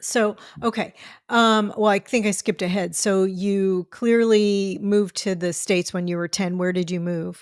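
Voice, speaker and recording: The speaker has an American accent and fairly even intonation. The recording is very clean, with a silent background. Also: woman, medium pitch for a woman, moderate pace. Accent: New York, milder than in childhood. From New York, then Houston. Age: 50s. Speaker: podcast host. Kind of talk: podcast interview.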